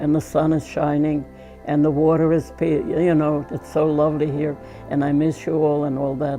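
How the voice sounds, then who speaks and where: Music plays in the background. A woman speaks in a very deep, low voice. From Russia. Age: 80s+. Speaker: painter. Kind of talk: interview answer. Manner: slow, hesitant.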